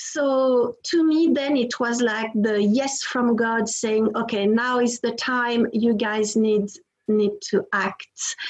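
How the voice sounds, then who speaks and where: A woman in a French accent, fairly high in pitch with ordinary pitch variation, very even in loudness and very slow in pace. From France. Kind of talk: interview testimony.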